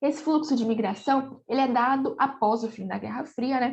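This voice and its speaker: A woman speaks with ordinary pitch variation. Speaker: geography teacher. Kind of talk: recorded online lecture. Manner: animated.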